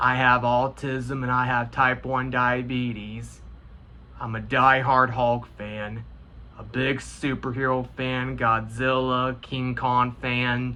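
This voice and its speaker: Talking with an American accent, a man speaks at a very slow pace and medium pitch. His intonation is monotone and flat, with audible room echo. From US Midwest, Indiana. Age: 20s. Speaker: gaming YouTuber. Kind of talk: personal vlog monologue. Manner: halting.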